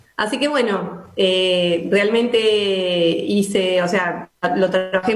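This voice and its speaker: The recording carries audible room echo. Noticeable background noise is also present. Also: woman. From Argentina, Buenos Aires province (Alberti). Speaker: local politician. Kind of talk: radio interview. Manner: halting, many fillers.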